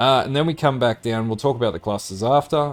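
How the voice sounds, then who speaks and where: A very fast pace with ordinary pitch variation. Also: man. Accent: Australian. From Australia. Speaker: gaming guide presenter. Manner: casual, with frequent filler words.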